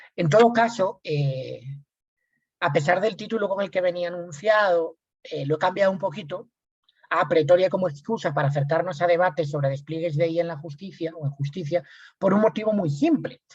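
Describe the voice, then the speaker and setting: This man's high-pitched voice, with ordinary pitch variation, moves at a fairly quick pace. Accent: Spanish. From Spain. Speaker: lawyer and researcher. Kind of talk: lecture.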